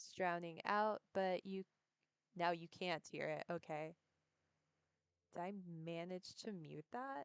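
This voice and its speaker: Soft-spoken and fairly low-pitched, a woman talks very slowly with ordinary pitch variation and long, frequent pauses. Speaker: streamer. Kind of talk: casual chat. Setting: live stream. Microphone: too quiet.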